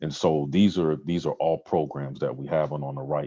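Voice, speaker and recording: A man speaks at a fairly quick pace in a very deep, low pitch. His dark, mellow tone carries vocal fry and monotone, flat intonation. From Trinidad and Tobago. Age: 40s. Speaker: community program director. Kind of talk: presentation to a club.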